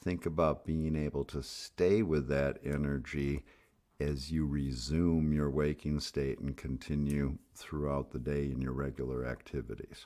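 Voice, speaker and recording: A man's very deep, low voice with a dark, mellow tone and fairly even intonation. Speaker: meditation guide. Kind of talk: guided meditation. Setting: live stream. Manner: soft-spoken; slow.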